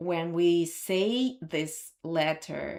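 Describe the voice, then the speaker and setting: A woman with a Russian accent at a very slow pace, fairly low in pitch, with ordinary pitch variation. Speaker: language teacher. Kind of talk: live stream lesson. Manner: halting.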